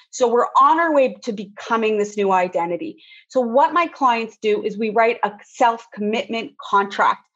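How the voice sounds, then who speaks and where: A woman speaks with lively intonation at a moderate pace. Hers is an unremarkable speaking voice, pitched fairly high. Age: 50s. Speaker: women's weight and mindset coach. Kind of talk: podcast interview.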